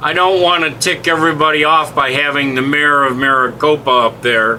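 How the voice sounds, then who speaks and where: A man with a fairly high pitch against noticeable background noise. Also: fairly even intonation, very even loudness. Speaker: web platform trainer. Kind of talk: screen-share tutorial. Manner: casual, halting with fillers.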